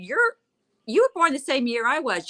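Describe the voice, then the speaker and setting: A woman's raised, projected voice, bright and sharp in tone, with very wide pitch swings and a dry, close sound with no echo. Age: 60s. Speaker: co-seller. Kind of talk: casual chat. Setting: livestream.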